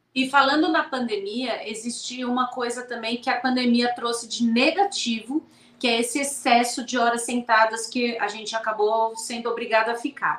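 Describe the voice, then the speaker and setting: With noticeable background noise behind it, the speech moves at a moderate pace with fairly even intonation and hardly any pauses. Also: woman, high pitch for a woman. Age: 40s. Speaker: sports medicine doctor. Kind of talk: casual interview.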